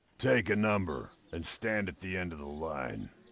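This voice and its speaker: A man puts on a character voice, very deep and low. The sound is raspy. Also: moderate pace. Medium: video game. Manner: dry, sarcastic.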